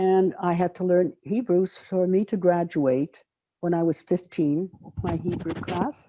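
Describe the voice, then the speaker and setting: A woman with a French accent. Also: quiet background. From Belgium. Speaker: Holocaust survivor. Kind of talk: testimony.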